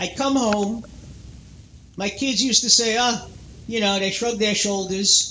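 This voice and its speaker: A man with a high-pitched voice at a fairly slow pace, with long, frequent pauses and fairly even intonation, plus audible room echo and noticeable background noise. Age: 60s. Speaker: radio talk show host. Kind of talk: call-in radio chat.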